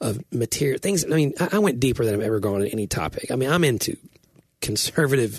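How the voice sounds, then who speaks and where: Talking very fast with a Southern US accent, a man uses a medium pitch, very wide pitch swings and a somewhat breathy delivery, in a dry, close sound with no echo. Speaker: writer and podcast co-host. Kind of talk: casual chat.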